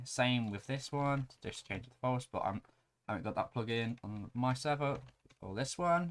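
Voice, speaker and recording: A man's plain, everyday voice, medium in pitch with ordinary pitch variation. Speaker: Minecraft plugin tutorial youtuber. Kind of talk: screen-recorded tutorial.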